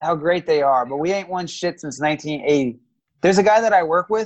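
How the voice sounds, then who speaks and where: Speaking at a moderate pace, a man uses a high pitch. His intonation is lively. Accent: American. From US South, Georgia. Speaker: podcast co-host. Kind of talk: casual chat.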